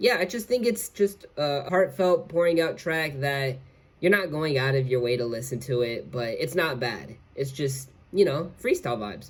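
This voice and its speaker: A man with lively intonation and a somewhat breathy voice talks at a moderate pace. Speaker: rapper and musician. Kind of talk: casual video commentary reviewing own music. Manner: casual, filler-heavy.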